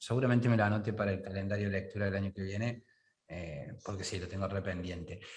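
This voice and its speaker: Very fast and somewhat breathy, a man speaks at a fairly low pitch with fairly even intonation. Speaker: podcast host. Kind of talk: casual interview chat.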